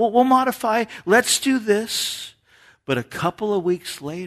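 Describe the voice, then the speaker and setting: The man's fairly slow speech plays out with a quiet background. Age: 50s. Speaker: pastor. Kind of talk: sermon.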